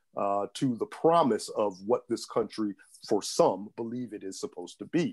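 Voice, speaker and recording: Against a quiet background, a man talks at a moderate pace with a medium pitch. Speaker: civil rights lawyer. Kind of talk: panel discussion. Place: home room. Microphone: earbuds.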